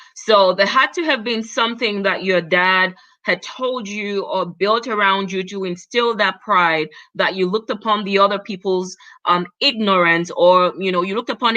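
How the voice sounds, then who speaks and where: The woman keeps to a moderate pace. Her pitch variation is ordinary. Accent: non-native. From Cameroon. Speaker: talk show host. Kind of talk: live panel interview. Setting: livestream.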